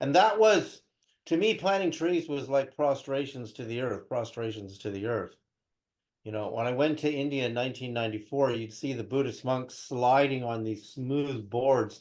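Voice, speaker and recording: With lively intonation and a moderate pace, a man talks at medium pitch in an unremarkable speaking voice. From California (Berkeley), born in Canada. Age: 60s. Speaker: spiritual researcher and interview guest. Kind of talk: interview, personal storytelling.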